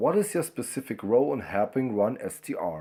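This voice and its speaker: A man with a German accent speaks at medium pitch and a moderate pace. His tone is dark and mellow, on a very clean recording with a silent background. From Germany, Brandenburg. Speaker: fan film website volunteer. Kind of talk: pre-recorded interview answers. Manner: reading questions aloud then answering.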